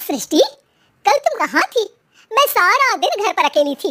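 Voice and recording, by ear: Doing a cartoonish character voice, a woman squeaks at an extremely high pitch with very wide pitch swings and a moderate pace.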